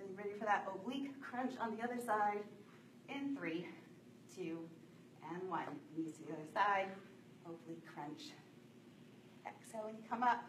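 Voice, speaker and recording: There is noticeable background noise as a woman talks. She takes long, frequent pauses. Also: moderate pace. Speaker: fitness instructor. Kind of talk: workout instruction. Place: gym. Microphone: camera far.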